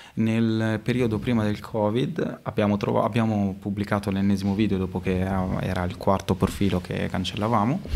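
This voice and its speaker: A man talks at a moderate pace and fairly low pitch with fairly even intonation. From Modena, Italy; Italy. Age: 20s. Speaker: street artist; guest. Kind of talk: casual interview; interview answer. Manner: hesitant, many fillers. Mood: relaxed, chatty. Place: studio. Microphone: studio mic.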